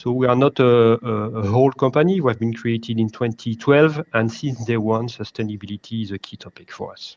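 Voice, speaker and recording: Speaking at a fairly quick pace with hardly any pauses, a man at medium pitch shows ordinary pitch variation and big swings in loudness, recorded dry and close with no echo. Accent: French. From France. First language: French. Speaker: logistics executive. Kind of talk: panel discussion. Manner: hesitant, many fillers.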